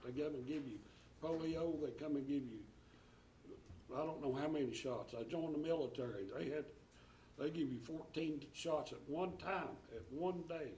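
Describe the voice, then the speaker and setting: With an East Tennessee accent, a man talks at a moderate pace, taking long, frequent pauses amid audible room echo. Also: ordinary pitch variation. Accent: Southern US (East Tennessee). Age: 70s. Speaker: school board member. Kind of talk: board meeting speech. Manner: halting.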